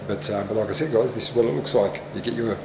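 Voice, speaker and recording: A man talks at a very fast pace. There is noticeable background noise and audible room echo. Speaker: vlogger and mining camp worker. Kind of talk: casual travel vlog. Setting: outdoors walking around a mining camp. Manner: hesitant, many fillers; softly spoken to avoid waking night shift.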